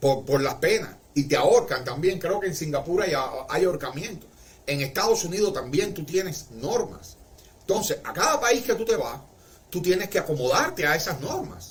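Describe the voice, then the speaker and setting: A man with a Cuban accent speaks at a high pitch and a moderate pace, his intonation lively, amid noticeable background noise. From Cuba, Marianao, Havana. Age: 60s. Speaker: livestreamer. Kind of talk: casual livestream monologue.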